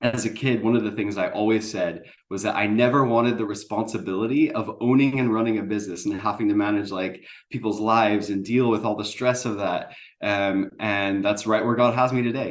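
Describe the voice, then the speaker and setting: Fairly low in pitch, a man talks at a fairly quick pace. His intonation stays fairly even. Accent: American. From USA. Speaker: business founder. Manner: hesitant, many fillers.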